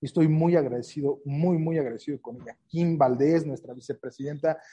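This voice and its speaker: With fairly even intonation, a man's voice carries a dark, mellow tone. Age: 40s. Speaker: trade association president. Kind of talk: interview. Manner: halting.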